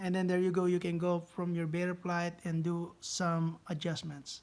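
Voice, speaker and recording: A man with a non-native accent, high-pitched and monotone, flat in intonation, at a moderate pace. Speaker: drone hobbyist YouTuber. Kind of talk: tutorial. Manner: halting, many fillers; casual.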